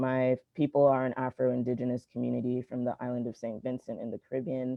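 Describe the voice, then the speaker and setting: In an American accent, a man is speaking. His pace is fairly quick. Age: 20s. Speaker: youth climate activist. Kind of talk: reading aloud a prepared prayer statement. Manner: hesitant fillers.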